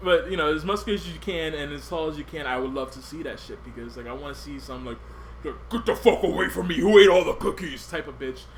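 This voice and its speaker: A man rushes through his words at a very fast pace while noticeable background noise fills the recording. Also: big swings in loudness. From US, Puerto Rican family. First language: Spanish. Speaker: podcast host. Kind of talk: casual chat.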